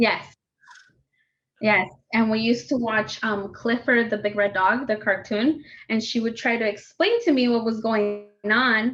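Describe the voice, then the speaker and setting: The speaker has a Spanish accent and a fairly slow pace. Intonation stays fairly even and loudness very even. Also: woman, fairly high pitch for a woman. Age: 20s. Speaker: youth outreach coordinator. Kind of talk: interview testimony.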